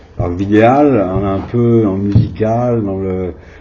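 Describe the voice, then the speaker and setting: A man speaks at a very slow pace with a fairly low pitch and ordinary pitch variation. Audible room echo and noticeable background noise are present. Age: 60s. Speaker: video artist. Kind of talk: interview. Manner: hesitant.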